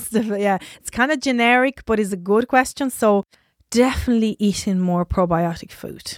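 Fairly high-pitched woman's speech at a moderate pace, ordinary pitch variation and big swings in loudness. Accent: Italian. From Italy (Sardinia). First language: Italian. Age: 30s. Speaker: nutritional therapist, business owner. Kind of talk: interview conversation.

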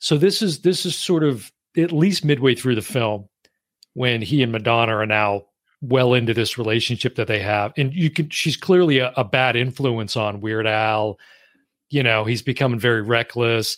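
Captured in a very clean recording with a silent background, a man with an ordinary speaking voice talks at a moderate pace at a medium pitch with ordinary pitch variation. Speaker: podcast host. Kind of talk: casual chat.

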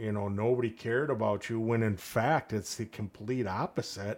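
An unremarkable speaking voice from a man, medium in pitch, at a moderate pace with fairly even intonation, on a very clean recording with a silent background. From Saint Paul, Minnesota. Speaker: police officer. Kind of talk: casual interview conversation.

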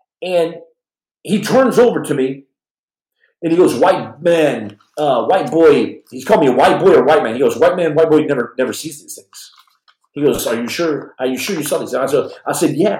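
A man with a fairly high pitch talks at a moderate pace in an animated tone with lively intonation, and audible room echo surrounds him. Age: 40s. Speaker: podcast host and former Navy SEAL. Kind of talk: live podcast storytelling. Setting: home livestream. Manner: halting.

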